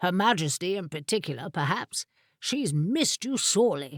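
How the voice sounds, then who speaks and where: A woman's put-on character voice at medium pitch and a moderate pace, on a very clean recording with a silent background. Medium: read story. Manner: wry, archaic phrasing.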